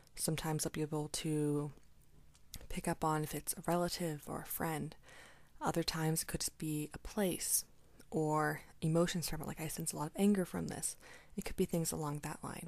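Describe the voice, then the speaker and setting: Soft-spoken and monotone, a woman speaks at a moderate pace with a very deep, low pitch, on a very clean recording with a silent background. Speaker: energy healer. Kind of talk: tutorial.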